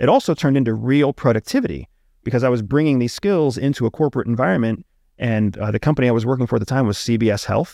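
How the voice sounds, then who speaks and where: In a dry, close sound with no echo, a man with a Pennsylvania accent talks at a very fast pace in a medium pitch with ordinary pitch variation. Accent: American, Pennsylvania. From rural Pennsylvania. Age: 40s. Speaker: former CIA intelligence officer. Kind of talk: casual interview conversation. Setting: studio.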